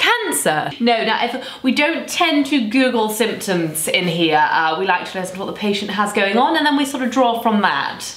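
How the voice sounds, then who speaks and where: A woman speaks at a moderate pace with hardly any pauses. Audible room echo surrounds her voice. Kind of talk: scripted comedy sketch dialogue. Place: home room. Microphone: camera far.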